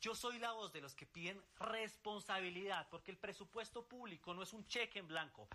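This man talks at a moderate pace with a high pitch, a bright, sharp tone and ordinary pitch variation.

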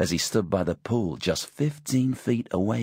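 Text is being read out loud. It sounds like a natural voice.

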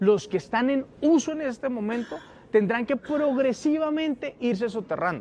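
A man's extremely high-pitched voice at a moderate pace, slightly mellow in tone and lively in intonation

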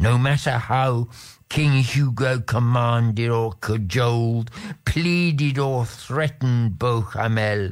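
The speaker is reading aloud. The voice is natural.

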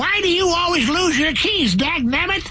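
An extremely high pitch marks this put-on character voice. Delivery moves at a moderate pace. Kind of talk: old-timey, exasperated. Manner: grumpy, aggravated.

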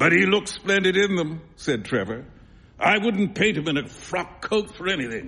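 Pitch rises and falls by ordinary amounts. It belongs to a natural reading voice.

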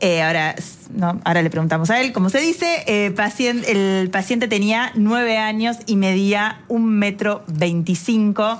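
A woman speaks at medium pitch and a moderate pace. She makes few pauses and uses ordinary pitch variation.

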